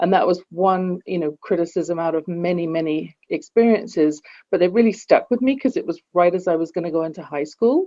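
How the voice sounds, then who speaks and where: A woman with a fairly low pitch talks at a fairly quick pace, with hardly any pauses. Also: ordinary pitch variation. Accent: English. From England. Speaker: executive coach and author. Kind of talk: podcast interview.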